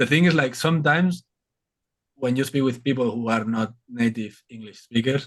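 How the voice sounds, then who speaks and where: A man speaks at a medium pitch. He has a strong Spanish accent. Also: ordinary pitch variation, moderate pace. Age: 30s. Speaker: reptile content creator. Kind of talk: casual chat.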